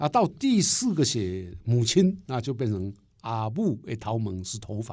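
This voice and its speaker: A man at medium pitch and a fairly slow pace, with lively intonation, on a very clean recording with a silent background. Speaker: poet and professor. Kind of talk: interview conversation.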